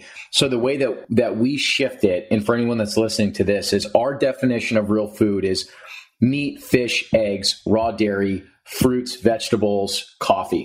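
A man speaks with an American accent in a plain, everyday voice at a medium pitch. His pace is moderate and his pitch variation ordinary. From New Jersey. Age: 20s. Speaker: podcast host and health advocate. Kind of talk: casual interview.

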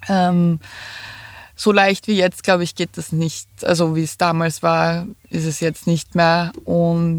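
Very slow, monotone delivery from a woman with a fairly low pitch and flat intonation. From Lower Austria, near Vienna. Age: 30s. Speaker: van dweller. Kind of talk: interview.

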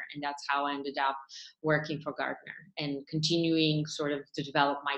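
A woman talks with a Bulgarian accent and a very deep, low pitch. Her intonation is monotone and flat. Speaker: tech startup founder and CEO. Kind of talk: interview.

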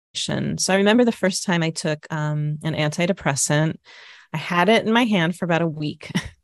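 A woman talks at a fairly low pitch with ordinary pitch variation. The background is quiet. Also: moderate pace. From Minnesota. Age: 50s. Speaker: comedian. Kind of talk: interview.

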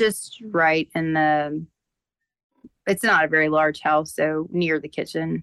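A woman with an American accent speaks at a very slow pace in a very deep, low voice with fairly even intonation. Her long, frequent pauses come through in a dry, close sound with no echo. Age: 30s. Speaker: caller, mother. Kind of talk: phone-in consultation.

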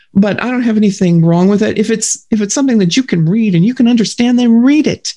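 The woman's voice, somewhat breathy, rises and falls with ordinary pitch variation. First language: German. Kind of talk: faith testimony interview.

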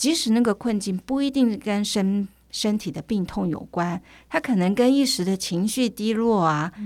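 In a very clean recording with a silent background, a woman with an unremarkable speaking voice talks at a moderate pace, her medium pitch showing ordinary variation. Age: 50s. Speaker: medical anthropologist. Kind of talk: interview conversation.

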